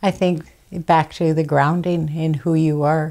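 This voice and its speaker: A woman talks at a fairly slow pace in a dark, mellow tone with monotone, flat intonation. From Fort Rupert, British Columbia, Canada. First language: Kwak'wala. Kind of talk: interview testimony. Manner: halting, many fillers.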